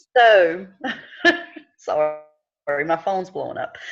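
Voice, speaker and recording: A woman speaks with a Southern US accent at a very slow pace. Her pitch is fairly low, with ordinary pitch variation. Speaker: direct sales team leader. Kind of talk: online team meeting.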